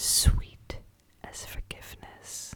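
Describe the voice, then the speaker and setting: A woman whispering at a very slow pace amid noticeable background noise. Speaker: ASMR creator. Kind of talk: ASMR poetry and prayer reading. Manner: whispered, soft, calming.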